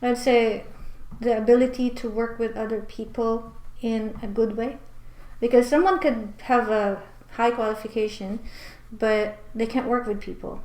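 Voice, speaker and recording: A woman's voice with fairly even intonation, noticeable background noise and audible room echo. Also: fairly high pitch for a woman, moderate pace. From Philippines. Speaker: immigration consultant. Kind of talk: mock speaking exam answers. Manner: hesitant, many fillers.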